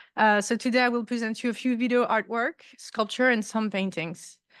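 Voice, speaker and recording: Speaking at a fairly quick pace with a French accent, a woman's fairly high voice comes through over a quiet background. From France, Paris. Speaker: artist and visiting professor. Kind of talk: lecture.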